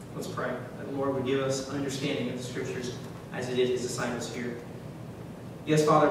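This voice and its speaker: Amid noticeable background noise and strong room echo, a man talks at a fairly quick pace in a flat monotone. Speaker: preacher. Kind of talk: sermon. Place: church.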